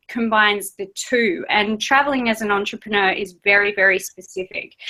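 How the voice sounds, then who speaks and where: With an Australian accent, a woman talks at a fairly quick pace. Her tone is bright and sharp. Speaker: travelling entrepreneur. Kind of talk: interview.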